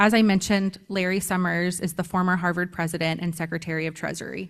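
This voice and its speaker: The words come at a very fast pace in a monotone, flat intonation. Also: woman, fairly low pitch for a woman. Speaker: graduate student and survivor advocate. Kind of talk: speech at teach-in. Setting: stage with audience. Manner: hesitant, many ums.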